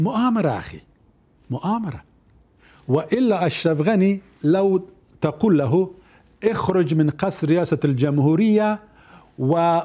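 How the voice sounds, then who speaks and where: A man with a high pitch and a dark, mellow tone speaks at a very slow pace. His intonation is lively, broken by long, frequent pauses. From Afghanistan. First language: Dari or Pashto (speaking Arabic). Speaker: former government minister; interview guest, former minister. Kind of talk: interview. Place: studio. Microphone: lapel.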